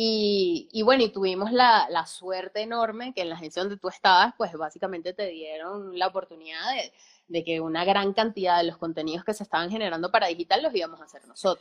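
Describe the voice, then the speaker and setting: In an ordinary speaking voice, a woman talks at a fairly quick pace with hardly any pauses, her pitch medium with ordinary variation and her loudness swinging widely. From Venezuela, Valencia. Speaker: film production company co-owner, musician. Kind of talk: casual interview chat. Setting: live stream.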